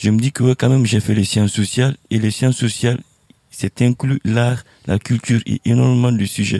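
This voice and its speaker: A man's dark, mellow tone at a moderate pace, with fairly even intonation and a dry, close sound free of echo. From Guinea. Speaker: artist. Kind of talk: panel discussion. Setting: outdoors.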